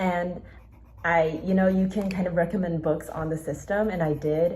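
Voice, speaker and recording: Speaking at a moderate pace, a woman with a medium pitch and a dark, mellow, somewhat breathy tone is heard with audible room echo. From Taiwan. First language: Mandarin Chinese. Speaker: book YouTuber. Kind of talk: casual vlog talk. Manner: casual, filler-heavy.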